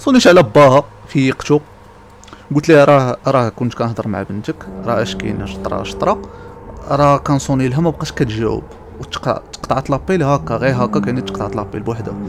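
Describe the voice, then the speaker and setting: Music plays in the background as a man at medium pitch talks at a moderate pace with lively intonation. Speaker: gaming YouTuber. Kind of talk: horror story told over gameplay. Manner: casual, conversational.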